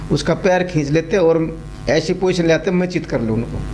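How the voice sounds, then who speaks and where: Against noticeable background noise, a man talks at a moderate pace with a high pitch and ordinary pitch variation. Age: 60s. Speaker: wrestling coach and former wrestler. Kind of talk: interview.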